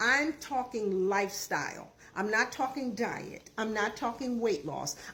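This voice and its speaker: A woman's fairly high voice, a normal speaking voice, with lively intonation and a fairly slow pace. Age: 60s. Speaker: diet and lifestyle coach. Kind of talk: casual talk-to-camera advice video. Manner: conversational with frequent fillers.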